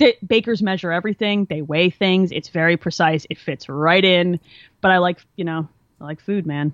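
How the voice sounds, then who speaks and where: The clip features a plain, everyday voice. It keeps a moderate pace with ordinary pitch variation. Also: woman, fairly low pitch for a woman. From New Jersey, near Philadelphia. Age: 30s. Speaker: engineer and gamer. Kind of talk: casual chat. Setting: video call.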